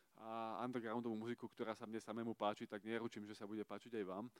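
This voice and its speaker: A man's flat, monotone delivery in a dry, close recording without any echo. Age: 30s. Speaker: preacher at youth service. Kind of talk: sermon.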